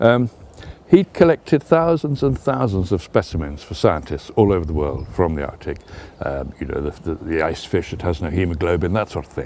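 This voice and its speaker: Speaking with a southern English accent, a man with a very deep, low voice goes at a fairly quick pace, with very wide pitch swings and big swings in loudness. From England. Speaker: travel writer. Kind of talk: interview answer.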